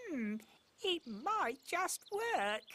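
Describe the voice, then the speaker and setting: This is a cartoonish character voice. It sits at an extremely high pitch with very wide pitch swings. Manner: mild, hesitant.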